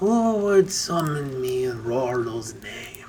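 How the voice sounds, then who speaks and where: In a put-on character voice, a husky man speaks at a very slow pace with very wide pitch swings, and clear background noise is present. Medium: read story. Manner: archaic, courtly.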